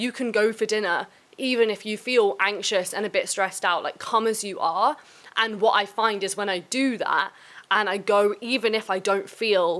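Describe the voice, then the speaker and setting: A woman of medium pitch at a moderate pace, with ordinary pitch variation, on a very clean recording with a silent background. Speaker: podcast host. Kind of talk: casual Q&A chat. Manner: loud.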